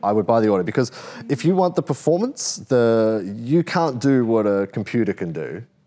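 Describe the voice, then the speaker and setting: A man with an Australian accent and a dark, mellow tone speaks at a fairly quick pace and medium pitch with very wide pitch swings, on a very clean recording with a silent background. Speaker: car podcast host. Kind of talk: casual chat.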